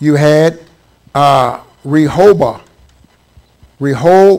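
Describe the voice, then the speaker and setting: A man speaks very slowly in an American accent. His pitch is fairly high, with ordinary variation. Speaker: Bible teacher. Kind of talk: Bible study lecture.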